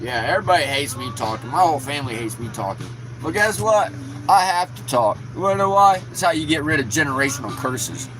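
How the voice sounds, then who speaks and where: Over music in the background and with audible room echo, the speaker talks at a very fast pace with lively intonation. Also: man, medium pitch for a man. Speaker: YouTuber. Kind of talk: angry rant. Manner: animated.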